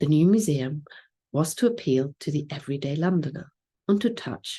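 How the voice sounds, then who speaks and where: A woman speaks with a dark, mellow tone and lively intonation at a very deep, low pitch. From Germany. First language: German. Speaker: museum curator. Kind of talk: conference lecture. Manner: formal.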